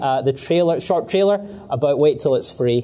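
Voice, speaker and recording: With a Scottish accent, a man speaks at a fairly high pitch over noticeable background noise. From Scotland. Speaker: filmmaker. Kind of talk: talk to live audience.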